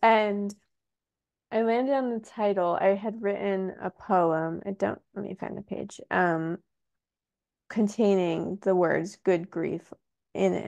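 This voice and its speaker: A soft-spoken woman talks at a very slow pace with long, frequent pauses, medium pitch and fairly even intonation. Her voice is dry and close with no echo, over a quiet background. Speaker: poet and author. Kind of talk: interview conversation.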